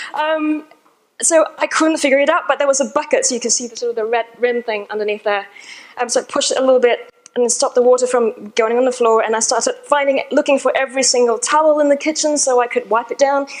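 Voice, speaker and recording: A woman speaks very fast at a high pitch. Her tone is animated. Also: ordinary pitch variation. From Australia. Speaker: conference speaker. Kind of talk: conference talk. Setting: stage with audience.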